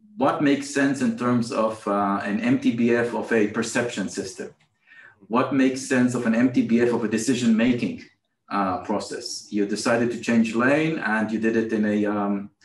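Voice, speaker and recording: Audible room echo surrounds a man who speaks at a moderate pace with fairly even intonation. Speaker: remote guest. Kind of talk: interview answer. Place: office. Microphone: video call.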